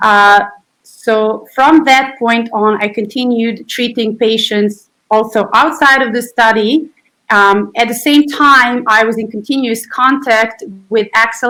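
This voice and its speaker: At a very slow pace, with ordinary pitch variation, a speaker with a bright, sharp tone talks in a Serbian accent. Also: woman. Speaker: physiotherapist and researcher. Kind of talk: interview.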